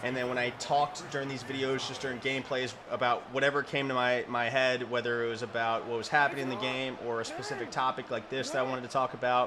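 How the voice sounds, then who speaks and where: A man's medium-pitched, monotone, flat voice at a very fast pace with hardly any pauses, over noticeable background noise. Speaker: gaming video creator. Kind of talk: gameplay commentary. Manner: stumbles over words often.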